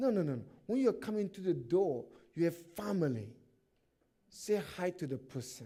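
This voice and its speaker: With a non-native accent, a man speaks in a high pitch and a dark, mellow tone, his pitch swinging very widely between long, frequent pauses. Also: moderate pace. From Africa. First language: not English. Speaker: pastor. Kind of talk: sermon. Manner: animated.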